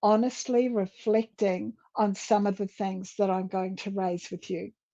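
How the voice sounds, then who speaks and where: In a quiet setting with a dry, close sound and no echo, a woman speaks fairly slowly in a dark, mellow tone, her fairly high pitch varying in an ordinary way. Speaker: leadership and communication coach. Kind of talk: conference talk. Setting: virtual summit.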